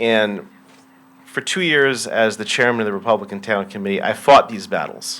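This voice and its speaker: With an American accent and a plain, everyday voice, a man talks at medium pitch and a moderate pace with ordinary pitch variation. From Greenwich, Connecticut. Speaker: local politician, public commenter. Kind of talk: public comment speech.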